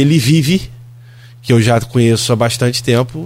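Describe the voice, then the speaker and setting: Speech comes at a moderate pace with ordinary pitch variation. The voice has a somewhat breathy quality. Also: man. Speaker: city councillor. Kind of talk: radio political interview. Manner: animated.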